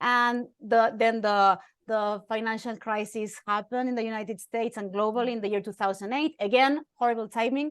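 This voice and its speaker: Over a quiet background, a woman with an Argentine accent talks at a fairly quick pace, her fairly high pitch showing ordinary variation. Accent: foreign accent (Argentine Spanish). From Argentina. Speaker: journalist and keynote speaker. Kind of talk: interview.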